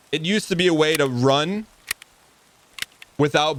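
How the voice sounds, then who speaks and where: A man's voice over noticeable background noise. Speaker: video game streamer. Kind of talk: live gameplay stream chat. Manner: occasional stutter; casual, repetitive restarts.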